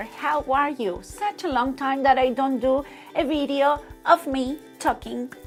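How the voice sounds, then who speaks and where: A woman's high voice at a fairly slow pace, with a non-native accent, ordinary pitch variation and music in the background. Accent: foreign accent, non-native English. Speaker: fabric designer. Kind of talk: casual talk to camera. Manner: slow, hesitant with fillers.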